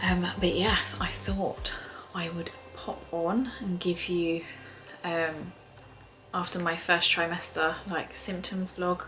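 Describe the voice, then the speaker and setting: A soft-spoken woman with an English accent talks at a very slow pace, with audible room echo and noticeable background noise. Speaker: vlogger. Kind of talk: casual vlog. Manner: hesitant, lots of fillers.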